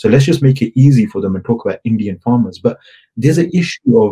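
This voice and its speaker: Somewhat breathy with a dark, mellow tone, a man speaks at medium pitch. His fairly quick delivery has lively intonation. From England. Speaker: activist. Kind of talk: interview. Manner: hesitant, many fillers.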